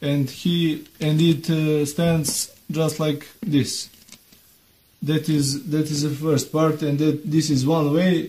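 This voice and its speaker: Speaking very slowly in a fairly high voice, the man keeps a monotone, flat intonation at a very even loudness. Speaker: DIY video maker. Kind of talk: tutorial. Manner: halting, many fillers.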